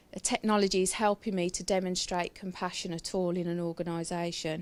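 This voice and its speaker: A woman with a Brummie accent at a fairly quick pace. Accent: Brummie, trying to reduce it. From Birmingham, England. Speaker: nurse and healthcare IT speaker. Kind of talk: conference presentation. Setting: stage at an event with audience.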